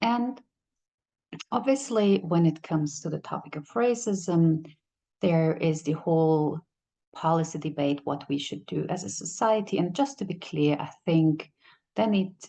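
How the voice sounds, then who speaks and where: Over a quiet background, a woman with a German accent speaks at a fairly slow pace and a fairly low pitch, her tone dark and mellow, her intonation lively, with long, frequent pauses. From Kazakhstan, then Germany from age nine. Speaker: company CEO. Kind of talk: speech. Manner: halting.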